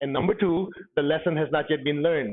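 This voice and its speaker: A man with a fairly high pitch talks at a fairly quick pace, using ordinary pitch variation. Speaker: spiritual teacher. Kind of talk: lecture. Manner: fast.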